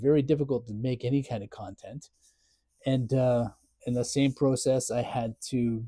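The speaker goes at a moderate pace with fairly even intonation, a somewhat breathy voice and long, frequent pauses, recorded dry with no echo against a quiet background. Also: man. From Ontario, Canada. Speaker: content creator; full-time caregiver. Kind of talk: casual vlog chat, personal update. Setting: home, self-filmed video. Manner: sarcastic, self-deprecating; venting, frustrated, emotional. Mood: grieving, frustrated, ranting. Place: garage. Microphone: lapel.

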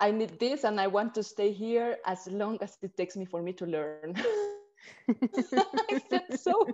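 Over light background noise, a woman with a Spanish accent speaks at a moderate pace. Her speech has long, frequent pauses. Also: medium pitch for a woman, ordinary pitch variation. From Peru. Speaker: Odissi dancer. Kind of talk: interview answer. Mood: warm, smiling storytelling. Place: home room. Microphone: video call.

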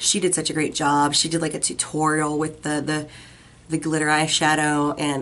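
This woman's voice sits very deep and low in pitch. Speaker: beauty vlogger. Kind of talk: product review video. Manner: friendly, chatty. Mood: warm, enthusiastic.

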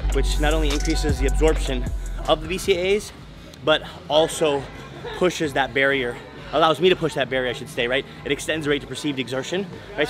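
A man at a fairly quick pace with ordinary pitch variation, clear music playing in the background. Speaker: fitness vlogger. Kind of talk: casual vlog chat. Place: gym. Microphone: phone near.

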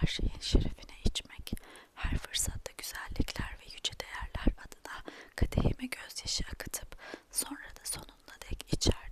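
Someone whispers at a fairly slow pace. Background noise is noticeable. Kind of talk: whispered ASMR book reading. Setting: ASMR recording, close microphone. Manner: whispered, soft.

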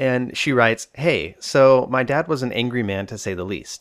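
The recording is very clean, with a silent background. A man in a plain, everyday voice speaks at medium pitch with lively intonation. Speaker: therapist and podcast host. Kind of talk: solo podcast monologue answering listener questions. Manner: casual, humorous, informal.

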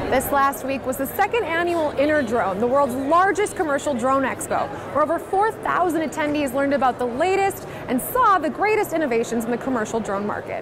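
A woman's high-pitched voice with very wide pitch swings, at a fairly quick pace with hardly any pauses, over crowd noise in the background. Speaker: news anchor and sports reporter. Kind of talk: news package narration.

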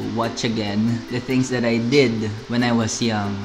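Noticeable background noise runs beneath speech at a fairly slow pace with fairly even intonation. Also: man. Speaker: YouTuber. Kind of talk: casual talk to camera. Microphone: studio mic.

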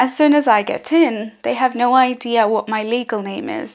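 A woman's lively intonation over a quiet background. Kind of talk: personal account to camera. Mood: serious, reflective. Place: home room. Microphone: phone near.

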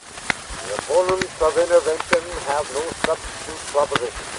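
Loud background noise sits under the voice. The pace is fairly slow, and the sound is dry with no echo. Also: man. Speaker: showman. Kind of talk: political speech. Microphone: old recording.

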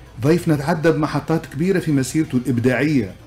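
A man speaks at a moderate pace with ordinary pitch variation, faint music playing in the background. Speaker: radio host. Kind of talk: radio program introduction. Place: studio. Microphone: studio mic.

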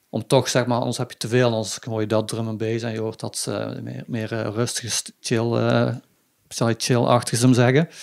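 A man with a plain, everyday voice, medium pitch, fairly even intonation and a moderate pace, on a very clean recording with a silent background. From southern Netherlands, Limburg (Budel/Weert). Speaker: sitar player in a band. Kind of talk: casual interview chat. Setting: living room.

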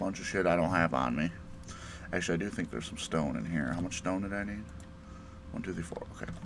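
Over noticeable background noise, a man with a very deep, low pitch and ordinary pitch variation talks at a very fast pace with long, frequent pauses. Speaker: gaming YouTuber; gamer. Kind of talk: let's play commentary. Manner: casual, halting with fillers. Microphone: poor recording quality.

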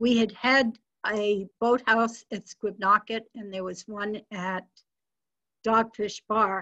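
Speaking at a very slow pace, a woman uses monotone, flat intonation in an American accent. Behind her, the background is quiet. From Massachusetts, New England. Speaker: interviewee. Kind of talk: oral history interview. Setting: video call. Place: home room. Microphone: webcam.

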